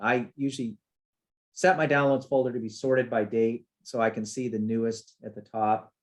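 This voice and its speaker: In a normal speaking voice, a man talks at a medium pitch and a moderate pace. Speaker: software developer presenting a webinar. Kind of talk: webinar tutorial. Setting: webinar with screen share. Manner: casual, with fillers.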